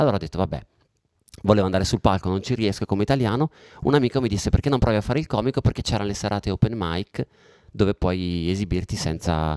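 At a very fast pace, a man speaks with a fairly low pitch and ordinary pitch variation, stopping for long, frequent pauses. The sound is dry and close, with no echo. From Italy. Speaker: comedian. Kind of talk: casual chat. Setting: home studio.

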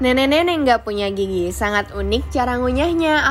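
A woman's voice in a playful, upbeat tone. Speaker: radio host. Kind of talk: radio DJ patter, a bright scripted on-air welcome and sign-off. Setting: studio. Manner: upbeat, chatty and animated, with a friendly morning-show lilt; playful, peppering Indonesian with English filler words.

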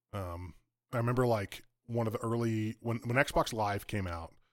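A man's fairly low pitch in a normal speaking voice, with ordinary pitch variation, in a very clean recording with a silent background. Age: 30s. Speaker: podcast co-host, laid-off IT worker. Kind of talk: casual chat.

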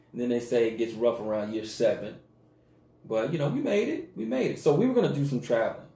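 With an American accent, a man talks very fast amid audible room echo. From US South, Mississippi. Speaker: podcast co-host. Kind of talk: casual chat.

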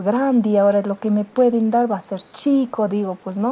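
Using a plain, everyday voice, a woman with a fairly high pitch speaks at a moderate pace with fairly even intonation. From Peru, Cerro de Pasco. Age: 50s. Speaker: secondary school teacher. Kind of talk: interview.

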